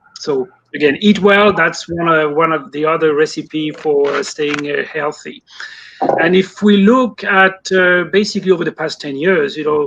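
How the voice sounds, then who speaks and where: A French accent at a moderate pace, with ordinary pitch variation. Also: man, high pitch for a man. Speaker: poultry industry consultant. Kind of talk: interview. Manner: some fillers, mostly fluent.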